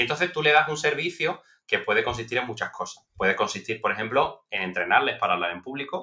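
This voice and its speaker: Against a quiet background, a man talks at a very fast pace with hardly any pauses. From Spain. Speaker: political scientist; podcast guest. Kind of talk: interview. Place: home room. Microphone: headset.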